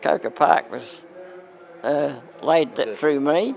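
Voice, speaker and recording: A man talks at a fairly slow pace. Noticeable background noise is heard throughout. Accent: Australian. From Australia. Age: 80s+. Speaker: masters athlete. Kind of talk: interview answer.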